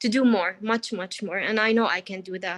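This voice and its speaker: Speaking at a fairly quick pace, a woman with an Arabic accent has a fairly high pitch. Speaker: workshop participant, freelancer in beauty and digital content. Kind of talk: casual sharing in online group coaching. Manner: hesitant, many fillers.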